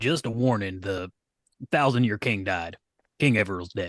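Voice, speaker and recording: A man's put-on character voice, fairly low in pitch, at a moderate pace with ordinary pitch variation over a quiet background. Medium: actual play. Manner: pompous, boastful.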